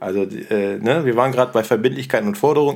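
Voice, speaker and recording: Very fast talk from a medium-pitched man, lively in intonation, over noticeable background noise. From Rhineland (Cologne area), Germany. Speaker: teacher and podcast host. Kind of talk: educational podcast chat.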